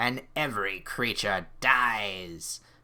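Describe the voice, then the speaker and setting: Here a man uses a put-on character voice. It comes out guttural. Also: fairly low pitch for a man. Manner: screaming.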